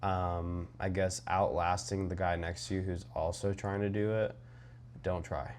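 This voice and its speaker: Very deep, low male voice with ordinary pitch variation and audible room echo. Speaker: trading vlogger. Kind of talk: casual vlog monologue. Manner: rambling with many fillers.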